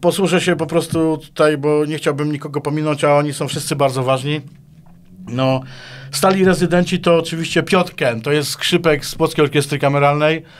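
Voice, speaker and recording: Fairly quick and fairly even in intonation, a man speaks in a fairly high voice. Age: 50s. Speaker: guitarist and composer; guest. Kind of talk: interview. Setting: studio. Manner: halting, with many repetitions. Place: studio. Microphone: studio mic.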